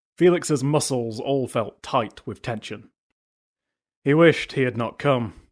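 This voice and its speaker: Pitch moves up and down in an ordinary way. Nothing can be heard behind the voice in this very clean recording, where the background is silent. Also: man. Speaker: audiobook narrator. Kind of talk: fantasy audiobook reading.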